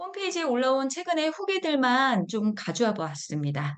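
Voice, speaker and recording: Her pitch swings very widely. The woman talks at a fairly slow pace. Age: 50s. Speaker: product lecturer, health supplement seller. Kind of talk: product presentation, reading reviews.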